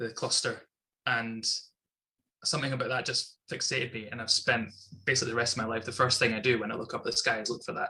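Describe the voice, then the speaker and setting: A man at medium pitch, bright and sharp in tone, monotone and flat, going very fast yet with long, frequent pauses. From Scotland, Inverness. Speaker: astronomy club member. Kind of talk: casual interview. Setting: video call.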